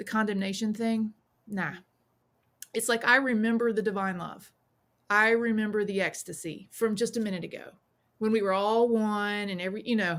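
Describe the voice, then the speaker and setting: A woman's fairly high, fairly even voice with a Southern US accent, at a moderate pace with long, frequent pauses. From US South, South Carolina. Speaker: witch, priestess and author. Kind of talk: podcast interview. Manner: casual, with frequent fillers and restarts.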